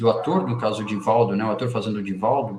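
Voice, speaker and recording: A man is speaking. His pace is fairly quick. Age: 50s. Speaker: spiritist book reader and commentator. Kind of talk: reading aloud with commentary. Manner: halting, many false starts.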